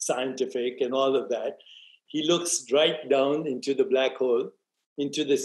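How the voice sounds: The background is quiet while a natural reading voice carries on.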